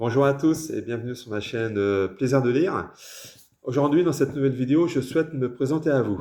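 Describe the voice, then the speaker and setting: A dark, mellow tone comes through. The pitch moves in an ordinary way. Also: man. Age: 60s. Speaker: author. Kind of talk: casual self-introduction. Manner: hesitant, many fillers.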